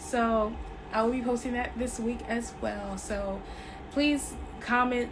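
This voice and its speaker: A woman's fairly high-pitched voice at a very slow pace, with long, frequent pauses, fairly even intonation, noticeable background noise and audible room echo. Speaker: tarot reader. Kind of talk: spiritual reading monologue.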